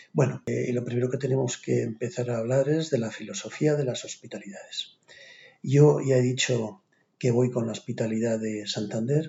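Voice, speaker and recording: Ordinary pitch variation and a moderate pace from a man, a normal speaking voice. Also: medium pitch for a man. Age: 60s. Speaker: physician. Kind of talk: lecture.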